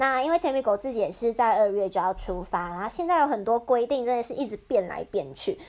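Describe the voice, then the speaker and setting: Barely pausing, a woman races along at a very fast pace, her fairly high pitch swinging very widely. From Taiwan. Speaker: student preparing for exchange, podcast co-host. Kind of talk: scripted narration; casual chat.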